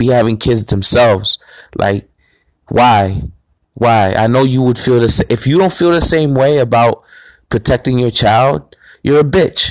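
The man's pitch is medium with ordinary variation, his loudness very even, at a moderate pace broken by long, frequent pauses. The sound is dry and close with no echo, in a very clean recording with a silent background. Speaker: podcast host. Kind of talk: angry rant.

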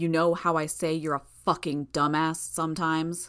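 In a growling, menacing put-on character voice at a middle pitch, the speaker goes at a moderate pace on a very clean recording with a silent background.

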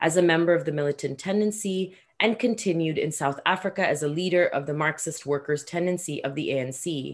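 This is an ordinary speaking voice from a woman, fairly low in pitch with ordinary pitch variation. She keeps a moderate pace in a very clean recording with a silent background. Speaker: podcast co-host. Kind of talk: moderated interview.

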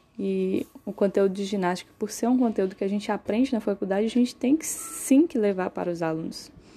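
Over noticeable background noise, a woman at medium pitch talks at a fairly quick pace with lively intonation and hardly any pauses. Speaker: university student, podcast host. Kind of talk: interview.

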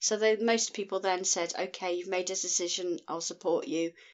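A woman speaks with a Scottish accent. Her pace is fairly quick and her intonation fairly even. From Scotland. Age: 50s. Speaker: podcast guest. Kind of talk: casual chat.

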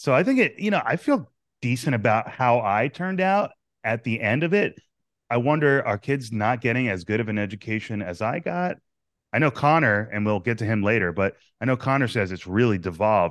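A man speaks in an unremarkable speaking voice with an American accent, a medium pitch and lively intonation. His pace is fairly quick over a quiet background. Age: 30s. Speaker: podcast host. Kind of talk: interview.

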